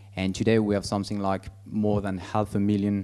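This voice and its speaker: A man's fairly low voice in a French accent, dark and mellow in tone, at a moderate pace. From France. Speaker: business director presenting services. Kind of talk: conference presentation. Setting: conference stage. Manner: halting, many fillers.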